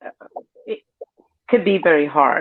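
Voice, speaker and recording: A woman talks with a Cuban accent. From Cuba, south of Havana. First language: Spanish. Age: 50s. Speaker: interview guest. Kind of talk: personal testimony.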